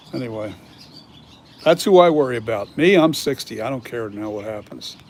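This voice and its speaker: This man has a normal speaking voice with an American accent, pitched medium for a man. He talks at a fairly quick pace with lively intonation. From Philadelphia region, US. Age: 60s. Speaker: mask maker. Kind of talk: casual chat. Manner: casual, with many fillers.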